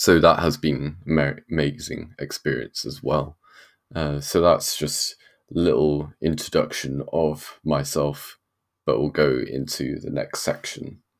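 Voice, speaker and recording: A man speaks in a British accent with a very deep, low pitch and vocal fry. His pace is fairly slow, with ordinary pitch variation. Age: 20s. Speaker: podcast host and university student. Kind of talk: solo religious podcast talk. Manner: hesitant, many fillers.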